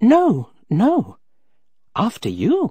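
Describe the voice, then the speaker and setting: A put-on character voice from a man, pitched high. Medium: read story.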